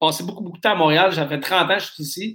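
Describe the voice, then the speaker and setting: A man at a high pitch with ordinary pitch variation. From Nova Scotia, Canada. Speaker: craft beer shop owner. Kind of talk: interview. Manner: halting.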